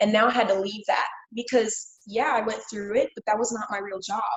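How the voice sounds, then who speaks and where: A woman with an ordinary speaking voice talks at a fairly quick pace and a fairly high pitch, with ordinary pitch variation. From Kansas City, Missouri. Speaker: former Marine. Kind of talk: casual interview.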